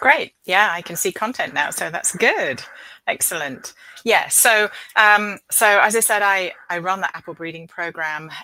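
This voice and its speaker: A woman with a British accent speaks at a fairly slow pace and a medium pitch, with ordinary pitch variation. Her tone is bright and sharp, with big swings in loudness. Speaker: professor and apple breeder. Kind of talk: presentation.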